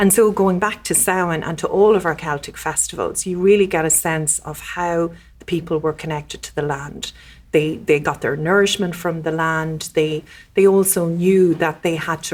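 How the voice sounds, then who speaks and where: With an Irish Midlands accent, a woman speaks at a fairly low pitch and moderate pace with fairly even intonation. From Ireland, County Westmeath. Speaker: diplomat. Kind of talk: podcast interview. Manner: halting, many fillers.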